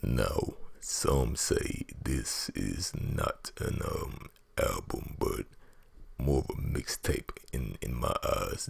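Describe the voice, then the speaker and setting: A whispering man over noticeable background noise. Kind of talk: ASMR whisper talk about favorite albums. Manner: whispered.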